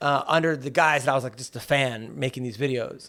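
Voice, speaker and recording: Talking at a very fast pace with fairly even intonation, a man is heard on a very clean recording with a silent background. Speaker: comedian. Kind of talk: casual chat.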